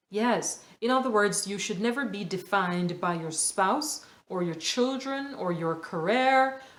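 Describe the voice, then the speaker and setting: A woman speaks at a very slow pace with lively intonation. Audible room echo surrounds her voice. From Jamaica. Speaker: podcast host. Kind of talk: motivational podcast monologue. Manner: hesitant, with filler words.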